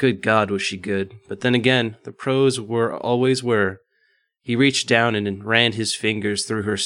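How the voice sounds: Against a quiet background, the clip carries a natural reading voice.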